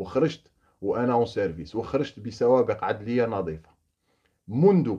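Over a quiet background, a man talks at a fairly slow pace in a medium-pitched, dark, mellow tone. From Algeria, Oran; Algeria. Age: 30s. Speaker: former gendarme turned opposition activist. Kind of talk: monologue to camera. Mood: earnest, indignant. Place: home room. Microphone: phone near.

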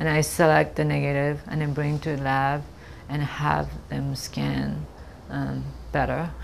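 A woman with a Japanese accent speaks at a fairly slow pace with long, frequent pauses, against light background noise. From Japan (Kobe). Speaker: photographer. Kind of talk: artist interview monologue. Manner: hesitant, many fillers. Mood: calm, thoughtful. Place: office.

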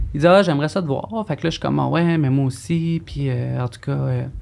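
A woman speaks with a very deep, low pitch. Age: 30s. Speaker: former escort, abuse survivor; guest. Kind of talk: testimony. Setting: studio. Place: studio. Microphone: studio mic.

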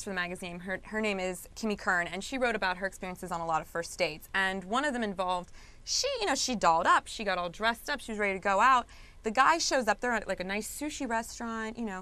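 Lively in intonation, a woman speaks at a very fast pace. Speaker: guest, magazine co-creator. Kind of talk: interview answer. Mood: upbeat, playful, laughing. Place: studio. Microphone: lapel.

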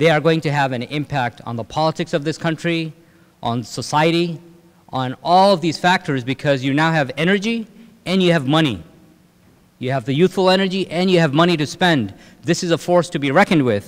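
A man talks fairly quickly, his pitch varying in an ordinary way. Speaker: speaker. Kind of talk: lecture. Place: hall. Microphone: podium.

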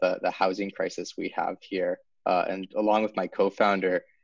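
A man talks at a moderate pace. The sound is dry with no echo. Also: quiet background. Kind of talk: interview answer. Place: home room. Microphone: video call.

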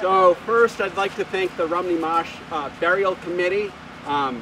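A man with a high voice and a bright, sharp tone talks over faint background noise. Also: ordinary pitch variation, moderate pace.

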